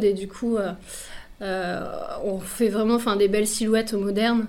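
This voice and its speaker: The woman speaks at a fairly high pitch with a dark, mellow tone. Her pace is fairly slow and her intonation monotone and flat. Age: 30s. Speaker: clothing brand founder, pattern maker. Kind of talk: radio interview. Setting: radio studio.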